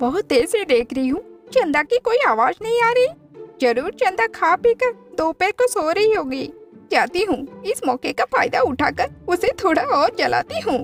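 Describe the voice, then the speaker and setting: A cartoonish character voice at an extremely high pitch with very wide pitch swings, moderate pace and clear music in the background. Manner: boastful, taunting.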